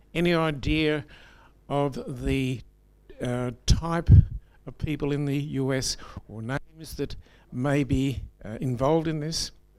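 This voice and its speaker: Fairly high-pitched male speech in an Australian accent, with ordinary pitch variation. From New South Wales, Australia. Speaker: audience member. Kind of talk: audience question.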